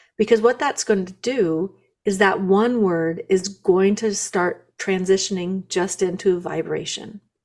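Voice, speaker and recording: A woman with a plain, everyday voice talks fairly slowly in a medium pitch with fairly even intonation. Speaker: guest, spiritual practitioner. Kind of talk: casual interview.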